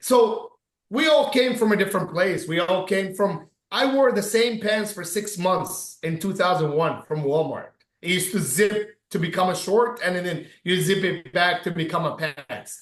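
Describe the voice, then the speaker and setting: Speaking with an Arabic accent, a man uses a high pitch and an animated tone. His pace is moderate. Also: ordinary pitch variation. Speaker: business owner. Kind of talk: casual chat.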